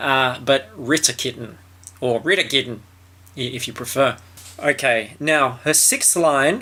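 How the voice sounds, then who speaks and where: With an Australian accent, a man of medium pitch speaks at a fairly slow pace in a bright, sharp tone. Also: ordinary pitch variation. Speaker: commentator reviewing a film or show. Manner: casual, joking.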